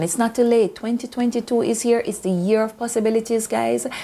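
A woman talks at a moderate pace, using a dark, mellow tone. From Jamaica. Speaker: YouTuber. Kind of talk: motivational vlog. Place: home room. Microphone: phone near.

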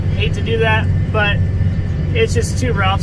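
A man's voice under loud background noise. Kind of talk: casual vlog chat. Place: farm machine. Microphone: phone near.

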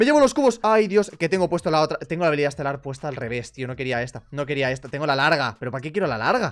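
Speaking at a very fast pace, this man races along. His pitch swings very widely. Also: quiet background. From Spain. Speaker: gaming youtuber. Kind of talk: casual gameplay commentary. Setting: voice chat while gaming. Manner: animated. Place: home room. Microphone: headset.

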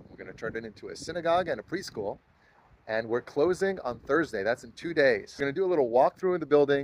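A man talks at a very fast pace with lively intonation, in dry sound with no echo and light background noise. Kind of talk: casual vlog chat. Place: street. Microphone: phone near.

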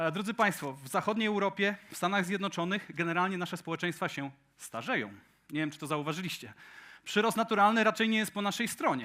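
On a very clean recording with a silent background, a man with a high pitch projects a raised, bright, sharp voice at a very fast pace, with big swings in loudness and ordinary pitch variation. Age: 40s. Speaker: tech conference speaker. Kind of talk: conference talk. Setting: stage with audience.

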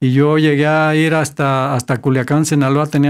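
A man talks in a monotone, flat intonation. The background is quiet. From Tepatitlán, Jalisco, Mexico; Jalisco, Mexico. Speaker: accountant, painter and songwriter; interviewee. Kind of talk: interview. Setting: studio. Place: studio. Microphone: studio mic.

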